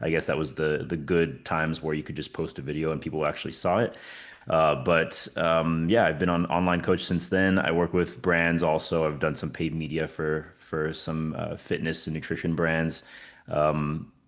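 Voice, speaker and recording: Over a quiet background, a man with an American accent speaks at a moderate pace. His pitch is very deep and low, and his intonation is monotone and flat. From US Southwest, New Mexico. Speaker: fitness coach. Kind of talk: casual interview.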